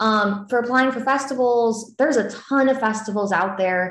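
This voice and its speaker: Audible room echo surrounds a woman with an American accent and a fairly high pitch that varies in an ordinary way. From US Southeast. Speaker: filmmaker; panelist. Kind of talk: panel Q&A. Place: home room. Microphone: video call.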